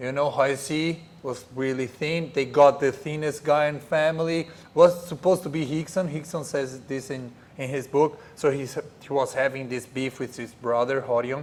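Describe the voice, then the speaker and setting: This man's fairly high pitch pairs with fairly even intonation and a moderate pace. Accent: Portuguese. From Brazil. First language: Portuguese. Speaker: jiu-jitsu professor. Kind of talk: podcast interview. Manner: hesitant, repeats words.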